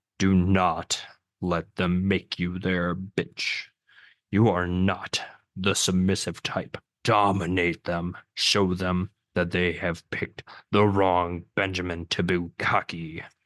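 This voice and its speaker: A man's put-on character voice, very deep, low and booming, very slow and monotone, in a dry, close sound with no echo against a quiet background. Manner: commanding.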